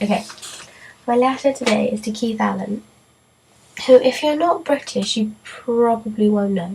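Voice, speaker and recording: Noticeable background noise fills the clip. A woman's fairly high-pitched voice comes through it. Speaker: vlogger. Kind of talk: casual vlog talk to camera.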